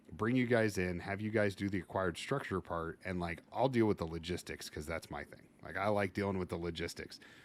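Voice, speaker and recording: Hardly pausing, a man talks at a fairly quick pace. His pitch is very deep and low, with ordinary variation. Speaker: fire service instructor and podcast host. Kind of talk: casual podcast interview. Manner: loud, boisterous.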